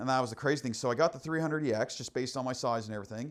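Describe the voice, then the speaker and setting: A man with a Nova Scotia accent talks at a very fast pace in an animated tone, his pitch medium, on a very clean recording with a silent background. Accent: Atlantic Canadian (Nova Scotia). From Nova Scotia, Canada (Kings County). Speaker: para-athlete, former ATV racer. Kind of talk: casual podcast interview. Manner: fast, animated with false starts.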